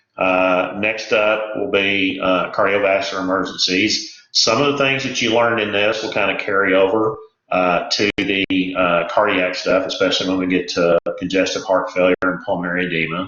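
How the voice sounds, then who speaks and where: Keeping a moderate pace with hardly any pauses, a man with an American accent speaks at a fairly low pitch with fairly even intonation. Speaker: EMT instructor, retired firefighter paramedic. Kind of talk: recorded lecture. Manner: hesitant, many filler words.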